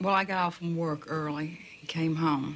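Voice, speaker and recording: A woman speaks with a Southern US accent. Her pitch sits very deep and low, with fairly even intonation. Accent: broad southern US. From US South, Jacksonville, Florida. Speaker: hurricane survivor. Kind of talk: personal story.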